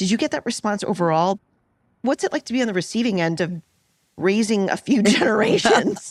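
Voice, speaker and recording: In an ordinary speaking voice with an American accent, a woman talks at a fairly quick pace with lively intonation and medium pitch, the sound dry and close with no echo. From New York. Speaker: podcast host. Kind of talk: interview.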